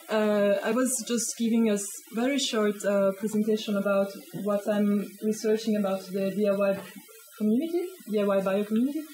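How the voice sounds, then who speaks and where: Over noticeable background noise, a woman with a Swiss accent speaks at a fairly quick pace with a medium pitch and fairly even intonation. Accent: Swiss, non-native English. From Switzerland. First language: not English. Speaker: sociology of science researcher. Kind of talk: talk to a small audience. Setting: hackspace talk with live audience.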